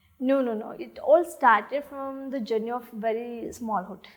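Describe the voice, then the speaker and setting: A woman with a South Indian accent speaks at a fairly slow pace with ordinary pitch variation. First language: Tulu. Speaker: actress. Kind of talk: interview. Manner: halting, many fillers.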